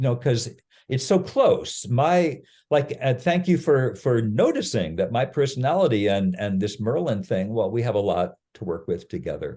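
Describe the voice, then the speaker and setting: A somewhat breathy, dark and mellow voice with very wide pitch swings over a quiet background. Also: man, medium pitch for a man, moderate pace. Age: 70s. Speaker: improv actor and ritual facilitator. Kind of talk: podcast interview. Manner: halting, with many fillers and restarts.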